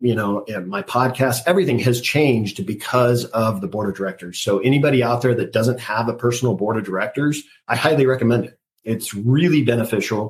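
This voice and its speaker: A somewhat breathy, medium-pitched man's voice with an American accent, at a fairly quick pace with ordinary pitch variation. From California, Central Coast. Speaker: marine veteran and parenting podcaster. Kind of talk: interview. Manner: halting.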